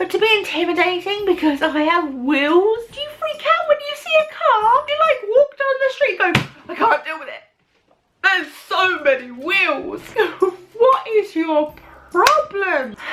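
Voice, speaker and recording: A woman with a British accent and an extremely high pitch speaks at a fairly slow pace in an animated tone, with very wide pitch swings and big swings in loudness. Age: 20s. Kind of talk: vlog monologue. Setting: alone in her room.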